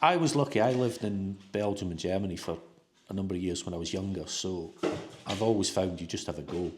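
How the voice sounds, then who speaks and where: Speaking at a very fast pace with a Scottish accent, a man with a very deep, low pitch uses lively intonation. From Scotland. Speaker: new expat homebuyer. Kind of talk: casual interview.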